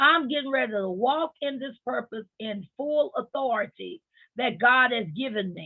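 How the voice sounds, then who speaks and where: A woman speaks with a high pitch and lively intonation. Her pace is fairly slow. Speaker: motivational podcast host. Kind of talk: motivational talk. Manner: animated.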